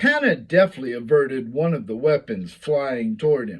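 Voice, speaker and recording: Fairly slow delivery with very wide pitch swings. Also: man. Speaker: author reading own novel. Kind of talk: reading aloud. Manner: stuttering, with misreadings.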